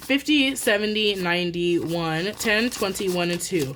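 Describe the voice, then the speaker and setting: A woman with a plain, everyday voice, medium pitch, lively intonation and a fairly slow pace. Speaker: budgeting YouTuber. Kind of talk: casual vlog tutorial. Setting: at home. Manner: casual, chatty.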